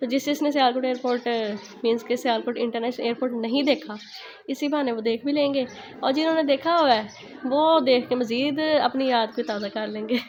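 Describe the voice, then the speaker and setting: A woman with a high voice talks at a moderate speed, her intonation fairly even, while noticeable background noise sits behind her. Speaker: vlogger. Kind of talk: casual vlog. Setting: outdoors and in airport.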